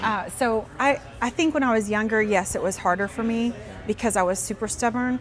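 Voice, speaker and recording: A woman's fairly high voice at very even loudness, with music in the background. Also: ordinary pitch variation, fairly quick pace. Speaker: nonprofit founder and business owner. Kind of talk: interview.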